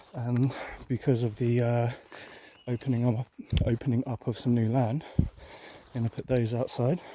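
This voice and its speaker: Soft-spoken, a man with an English accent talks at a moderate pace and medium pitch in a dark, mellow, monotone voice, leaving long, frequent pauses, with a dry, close sound and no echo. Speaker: cannabis grower vlogger. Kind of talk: casual vlog monologue. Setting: outdoors.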